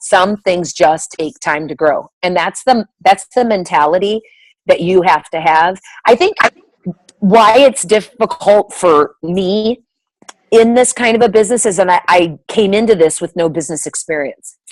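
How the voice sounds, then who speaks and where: A plain, everyday voice from a woman at medium pitch, fairly slow, with lively intonation and a dry, close sound with no echo. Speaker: direct sales team leader. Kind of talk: motivational talk to sales team.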